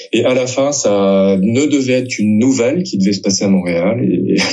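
Typical pitch movement runs through a man's speech, which proceeds at a middling tempo. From France. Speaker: novelist and literature teacher. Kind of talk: interview. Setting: book fair. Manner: hesitant, frequent word repetitions.

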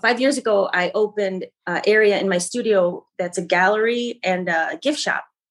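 Here a woman speaks with an American accent at a medium pitch. Her pace is moderate and her pitch variation ordinary. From Michigan, US Midwest. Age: 50s. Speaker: painter and art teacher. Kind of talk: casual interview.

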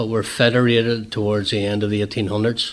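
A man talks with a Northern Irish accent. His pitch sits at a medium level. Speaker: association president. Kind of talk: radio interview, chatty explanation. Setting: radio studio. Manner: chatty, rambling, self-deprecating.

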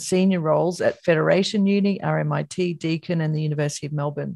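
Someone with an Australian accent talks at a fairly quick pace, with fairly even intonation. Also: woman. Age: 50s. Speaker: podcast host, academic. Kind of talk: reading a guest bio; interview.

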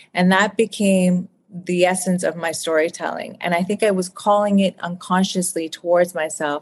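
Her intonation stays monotone and flat. This woman speaks at a moderate pace. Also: medium pitch for a woman. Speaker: author. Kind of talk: interview. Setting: video call.

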